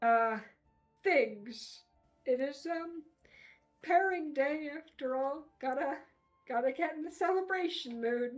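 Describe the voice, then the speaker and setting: A woman uses a put-on character voice, pitched high and delivered at a fairly slow pace. Faint music plays in the background. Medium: actual play. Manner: nervous, halting.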